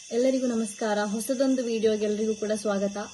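Noticeable noise runs through the background. A woman talks at a fairly high pitch. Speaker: YouTuber. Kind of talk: interview.

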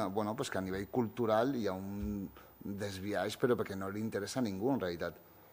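Using an unremarkable speaking voice, a man talks at a moderate pace and a fairly low pitch. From Catalonia (born in Morocco, arrived as a baby). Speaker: writer and youth centre director; speaker. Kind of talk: panel discussion. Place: hall. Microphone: podium.

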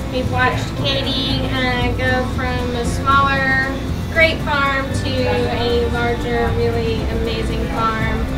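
A woman at a very slow pace over loud music in the background. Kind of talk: interview answer. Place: shop.

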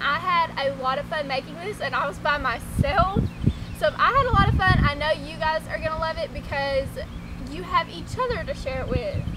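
A woman talks at a fairly quick pace through loud background noise. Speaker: vlogger. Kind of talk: casual vlog chat. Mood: cheerful, encouraging. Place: garden.

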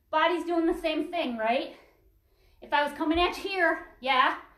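In a room with audible echo but a quiet background, a woman speaks at a fairly slow pace with an extremely high pitch and ordinary pitch variation. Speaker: fitness instructor. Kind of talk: workout class instruction. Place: home room. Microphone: camera far.

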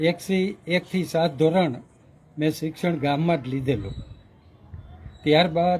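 A man's fairly high voice, an ordinary speaking voice with ordinary pitch variation. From Saurashtra, Gujarat (Morbi area village). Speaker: retired school teacher. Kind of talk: interview, life story.

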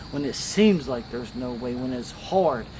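A man speaks with ordinary pitch variation while noticeable background noise runs underneath. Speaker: lay preacher. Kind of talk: sermon. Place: garden.

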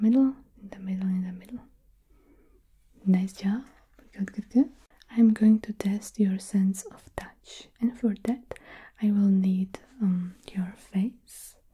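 A woman talks at a fairly slow pace with long, frequent pauses. Her tone is dark, mellow and somewhat breathy, her intonation fairly even. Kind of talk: soft roleplay talk to the viewer. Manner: soft, hushed ASMR examiner voice.

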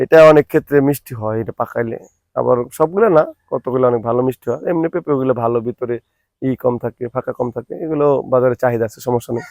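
A man speaks in a normal speaking voice at a medium pitch with ordinary pitch variation. The sound is dry and close, with no echo. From Manikganj, Bangladesh. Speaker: papaya farmer. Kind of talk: interview.

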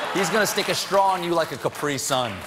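A man is talking with crowd noise in the background. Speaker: late-night TV host. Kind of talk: comedy monologue. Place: studio. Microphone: lapel.

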